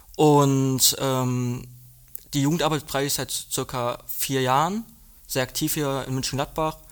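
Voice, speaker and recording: A plain, everyday voice belongs to a man with a fairly high pitch. He speaks at a fairly slow pace with fairly even intonation. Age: young. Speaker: nursing trainee. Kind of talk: casual chat.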